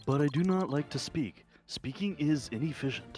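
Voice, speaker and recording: A man puts on a robotic character voice at a fairly high pitch and moderate pace, with faint music in the background. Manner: flat, mechanical.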